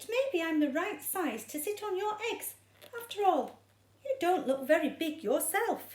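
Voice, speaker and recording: A squeaky, put-on character voice at a moderate pace. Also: woman, extremely high pitch for a woman. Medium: read story. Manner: eager, chirpy.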